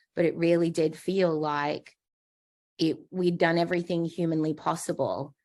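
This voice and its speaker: Spoken in an Australian accent at a fairly slow pace, the clip is a very clean recording with a silent background. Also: woman. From Australia, Darwin. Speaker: patient, transplant survivor. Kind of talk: interview.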